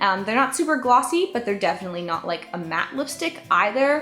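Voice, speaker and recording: A woman with music in the background. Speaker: beauty vlogger. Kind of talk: product review vlog. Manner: fast.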